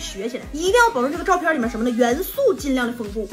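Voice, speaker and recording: A woman talks at a very fast pace in a raised, projected voice with very wide pitch swings. Music plays in the background. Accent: Northeastern Chinese. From Northeast China. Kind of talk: casual tutorial talk to camera. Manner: chatty, humorous.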